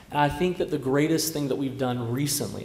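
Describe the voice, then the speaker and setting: A man's voice with fairly even intonation, noticeable background noise and audible room echo. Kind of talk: panel discussion. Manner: loud.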